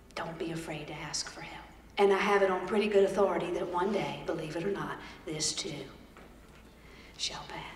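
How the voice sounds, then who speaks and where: Speaking with a Southern accent at a fairly quick pace, a woman with a medium pitch leaves long, frequent pauses and swings widely in loudness amid noticeable background noise and audible room echo. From Georgia, US South. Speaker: storyteller and motivational speaker. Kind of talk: motivational keynote with comedy. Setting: stage with audience at a conference. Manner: animated.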